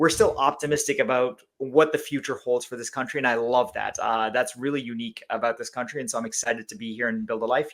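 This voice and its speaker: A man's medium-pitched voice with a slight Canadian accent, very fast, with ordinary pitch variation and big swings in loudness, on a very clean recording with a silent background. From Canada (Langley, British Columbia). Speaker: company CEO. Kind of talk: podcast interview.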